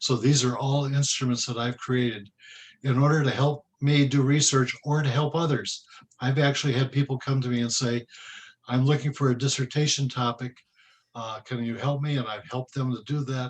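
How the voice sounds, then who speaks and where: A man speaks at a medium pitch and a moderate pace in a flat monotone. His voice is somewhat breathy against a quiet background. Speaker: research professor. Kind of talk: training presentation.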